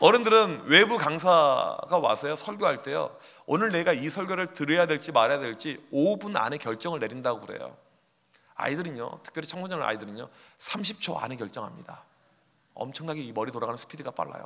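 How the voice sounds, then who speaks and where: A man with a fairly high, bright and sharp voice talks at a fairly quick pace. His pitch swings very widely and his loudness swings a lot. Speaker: youth pastor. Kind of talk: conference talk. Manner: fast; animated.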